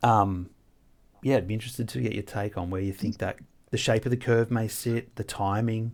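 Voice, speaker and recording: A very clean recording with a silent background of a man with an Australian accent, at fairly low pitch and moderate pace, with ordinary pitch variation. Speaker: trader and podcast host. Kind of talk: casual chat. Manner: hesitant, many fillers.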